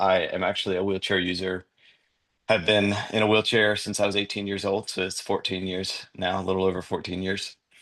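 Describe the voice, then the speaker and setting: A man with a North Carolina accent speaks at a fairly low pitch against a quiet background. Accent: Southern US (North Carolina). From US South, North Carolina. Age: 30s. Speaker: podcast guest, wheelchair user sharing faith story. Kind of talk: testimony. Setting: podcast interview.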